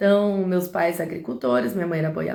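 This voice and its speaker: A woman's fairly low, dark, mellow voice makes very wide pitch swings. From Brazil, interior of Paraná. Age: 40s. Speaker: live streamer, women's empowerment speaker. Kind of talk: live stream talk, personal testimony. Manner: casual, conversational.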